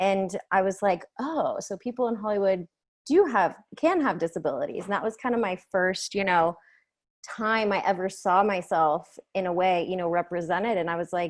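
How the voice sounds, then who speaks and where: A woman's ordinary speaking voice at a medium pitch and moderate pace, with ordinary pitch variation over a quiet background. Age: 30s. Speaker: filmmaker. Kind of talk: panel Q&A interview. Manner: casual, many fillers.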